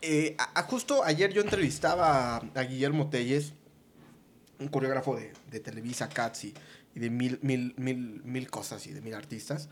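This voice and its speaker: A man with a plain, everyday voice, medium pitch and ordinary pitch variation, at a fairly slow pace with big swings in loudness. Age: 30s. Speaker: entertainment producer. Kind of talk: casual chat.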